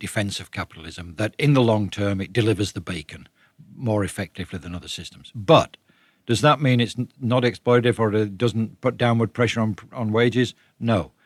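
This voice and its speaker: A man at a medium pitch and fairly quick pace, with ordinary pitch variation and big swings in loudness, on a very clean recording with a silent background and a dry, close sound with no echo. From northern England, Leeds. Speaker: author, economics writer. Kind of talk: interview.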